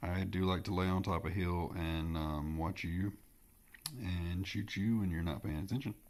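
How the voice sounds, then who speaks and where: Moderate pace, very even loudness and ordinary pitch variation, in a Southern US accent. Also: man, very deep, low pitch for a man. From US Southeast. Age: 30s. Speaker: gaming streamer. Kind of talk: gameplay commentary. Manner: casual, hesitant with fillers.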